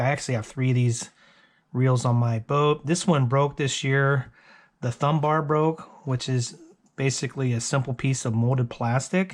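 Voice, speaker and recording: Here a man uses a normal speaking voice at medium pitch. He holds a moderate pace, and his intonation stays fairly even. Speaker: DIY tutorial maker, angler. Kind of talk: tutorial. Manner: casual.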